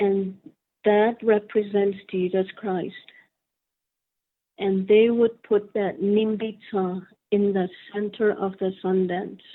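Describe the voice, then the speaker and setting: Woman's very slow, monotone delivery with flat intonation and long, frequent pauses. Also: medium pitch for a woman. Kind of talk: interview answer. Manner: soft-spoken, careful.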